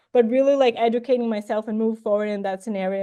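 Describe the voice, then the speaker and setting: Speaking at a very fast pace with a non-native accent, a woman uses ordinary pitch variation in a dark, mellow tone. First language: not English. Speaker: plant ecologist and incoming professor. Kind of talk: academic job talk. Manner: hesitant with many fillers.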